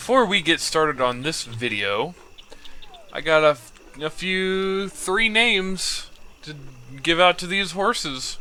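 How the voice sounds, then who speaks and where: A man with a high pitch speaks at a fairly slow pace, with lively intonation and big swings in loudness. Long, frequent pauses break his speech amid noticeable background noise. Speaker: gaming YouTuber. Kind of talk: gameplay commentary. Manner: animated; halting.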